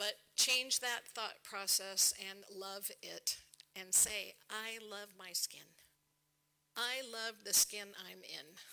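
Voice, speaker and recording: A woman's medium-pitched voice at a very slow pace, with big swings in loudness. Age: 60s. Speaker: skincare speaker. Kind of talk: conference talk. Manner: animated.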